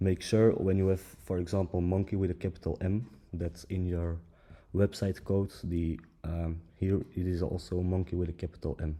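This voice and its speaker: With a non-native accent, a man speaks at a moderate pace in a very deep, low pitch, his tone dark and mellow and his intonation fairly even. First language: not English. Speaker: tech tutorial creator. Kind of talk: tutorial. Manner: halting, many fillers.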